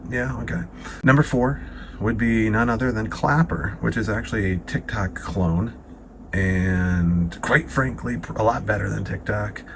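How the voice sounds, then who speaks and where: At a fairly slow pace, a man with a fairly low pitch speaks with very wide pitch swings over noticeable background noise. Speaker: dating coach. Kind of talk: casual monologue to camera. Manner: animated.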